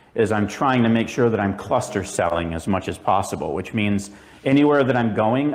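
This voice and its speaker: Over audible room echo, a man with a fairly low pitch speaks at a moderate pace. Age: 50s. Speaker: mobile shear sharpener. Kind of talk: conference presentation. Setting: stage with audience.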